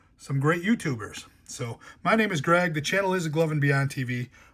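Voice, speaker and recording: In a somewhat breathy voice, a man speaks at a moderate pace with a fairly high pitch. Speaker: collectibles YouTuber. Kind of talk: casual show-and-tell vlog.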